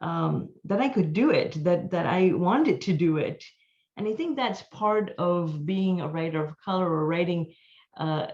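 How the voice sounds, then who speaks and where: The pace is fairly slow, with ordinary pitch variation. The voice sounds somewhat breathy. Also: woman. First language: not English (mother tongue another language). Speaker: author. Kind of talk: panel discussion. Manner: halting, many fillers.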